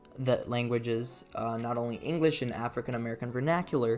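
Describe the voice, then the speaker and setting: With music playing in the background, a man at a medium pitch talks at a very fast pace. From Brazil. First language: Brazilian Portuguese. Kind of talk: video essay narration over gameplay. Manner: casual, sardonic.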